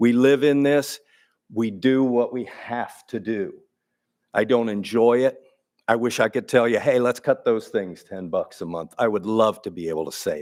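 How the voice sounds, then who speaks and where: A man with an American accent speaks in an ordinary speaking voice at medium pitch and a moderate pace, with ordinary pitch variation and big swings in loudness, on a very clean recording with a silent background. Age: 60s. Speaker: water utility official. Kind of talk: public meeting Q&A. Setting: city council meeting.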